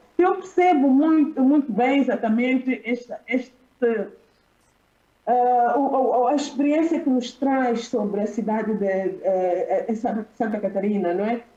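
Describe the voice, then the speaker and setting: The speaker has a Mozambican accent and lively intonation. The pace is fairly slow. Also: woman, high pitch for a woman. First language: Xichangana (speaking Portuguese). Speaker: academic panelist. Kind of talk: conference panel talk. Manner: halting. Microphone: poor internet connection.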